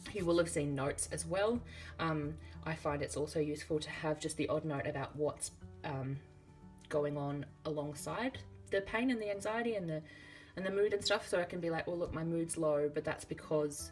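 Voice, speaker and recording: Over music in the background, a woman with an Australian accent speaks in a relaxed tone at a very deep, low pitch with ordinary pitch variation. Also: moderate pace. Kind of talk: casual talk to camera. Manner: chatty, relaxed.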